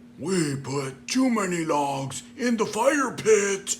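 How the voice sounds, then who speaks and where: In a put-on character voice, a man speaks very slowly and high, his pitch swinging very widely, with clear background noise. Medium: read story.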